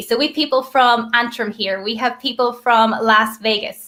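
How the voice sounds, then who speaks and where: Talking at a moderate pace, a woman with an Irish accent and a fairly high pitch keeps her intonation fairly even. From Ireland. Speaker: network marketer, former teacher. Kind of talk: live video call hosting.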